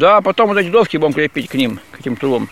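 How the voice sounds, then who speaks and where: With noticeable background noise behind him, a man talks at a very fast pace using lively intonation. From Krasny Kholm, Tver region. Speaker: manual worker. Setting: outdoors at work site.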